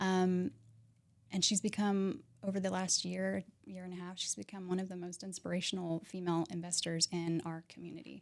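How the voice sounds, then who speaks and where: Soft-spoken yet with big swings in loudness, a woman talks at a fairly quick pace and medium pitch in an American accent, her intonation monotone and flat. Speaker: realtor and mindset coach. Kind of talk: podcast interview.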